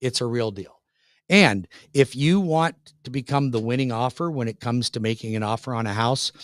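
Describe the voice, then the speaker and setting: Heard on a very clean, dry and close recording with no echo and a silent background, a man with an American accent has an unremarkable speaking voice at a medium pitch with ordinary pitch variation. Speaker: radio show host, mortgage loan officer. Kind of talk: radio show talk with ad-style sales pitch. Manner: fast, confident, salesy.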